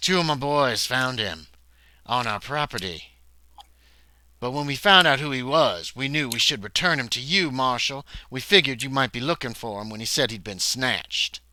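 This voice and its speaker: A man at medium pitch does a raspy, put-on character voice. His intonation is lively and his pace moderate. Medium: actual play. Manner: blunt.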